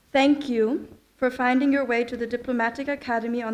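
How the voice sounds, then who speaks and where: Her voice is high-pitched, and this woman keeps her intonation fairly even. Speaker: speaker. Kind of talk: ceremonial speech. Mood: formal, warm. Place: hall. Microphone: podium.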